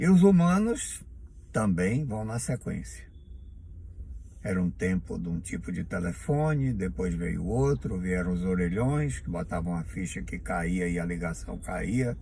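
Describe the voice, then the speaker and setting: With a very deep, low pitch and a dark, mellow, somewhat breathy tone, a man speaks fairly slowly in very wide pitch swings, with audible room echo. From Bahia, Brazil. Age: 70s. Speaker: vlogger. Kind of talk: monologue to camera.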